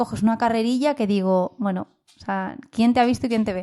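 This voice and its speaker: A woman with a dark, mellow tone and a fairly high pitch speaks at a fairly quick pace with ordinary pitch variation. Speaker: board game podcast co-host. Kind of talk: casual chat. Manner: fast.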